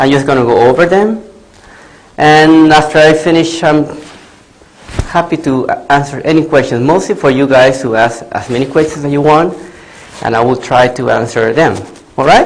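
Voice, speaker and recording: Amid noticeable background noise and audible room echo, a man with a fairly high voice speaks at a moderate pace with ordinary pitch variation and long, frequent pauses. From Latin America. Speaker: veterinarian. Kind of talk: lecture. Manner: loud.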